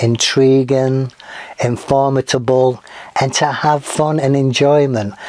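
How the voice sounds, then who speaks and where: A man with an American accent speaks at medium pitch. His intonation is monotone and flat, and his pace is fairly slow. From northern England, Manchester. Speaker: podcast host. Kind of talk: casual podcast introduction. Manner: casual with frequent fillers.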